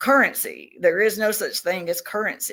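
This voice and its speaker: A woman speaks at a moderate pace with a Southern US accent. The recording is very clean, with a silent background. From Tennessee. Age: 60s. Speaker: self-described alien contactee. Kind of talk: podcast interview.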